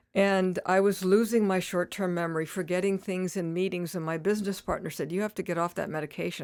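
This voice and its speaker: A woman's normal speaking voice at medium pitch, fairly quick and fairly even in intonation, on a very clean recording with a silent background. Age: 60s. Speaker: retired nurse practitioner and cannabis advocate. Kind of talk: casual interview.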